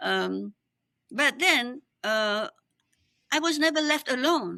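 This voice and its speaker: On a very clean recording with a silent background, a woman speaks at a high pitch in a bright, sharp tone. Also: dry, close sound with no echo. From Cambodia. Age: 70s. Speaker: exiled opposition politician. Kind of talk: interview.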